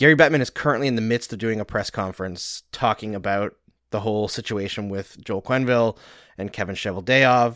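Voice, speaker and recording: A man with an ordinary speaking voice and a Canadian accent talks at a fairly quick pace, at a medium pitch with ordinary variation, in a very clean, dry, close recording with a silent background and no echo. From Western Canada (Saskatchewan, Alberta). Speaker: hockey analyst and podcast host. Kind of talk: casual chat.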